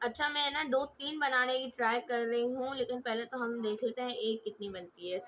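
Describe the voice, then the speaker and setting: A woman's fairly high voice, with ordinary pitch movement, comes through over clear background noise. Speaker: craft youtuber. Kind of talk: tutorial. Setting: home, siblings in room. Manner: loud, shouting to be heard. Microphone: mic held far away, voice not reaching.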